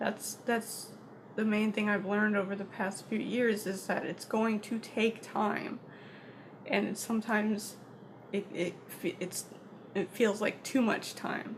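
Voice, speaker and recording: Over noticeable background noise, a woman speaks at a fairly slow pace in a fairly high pitch with monotone, flat intonation. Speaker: vlogger. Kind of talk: personal vlog monologue. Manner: soft-spoken; halting.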